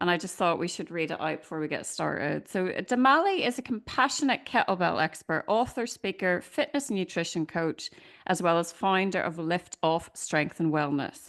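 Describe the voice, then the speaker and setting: Against a quiet background, a woman talks with an Irish accent and hardly any pauses. Her voice is fairly low, her intonation lively. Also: moderate pace. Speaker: podcast host. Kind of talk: casual interview chat; reading aloud a bio.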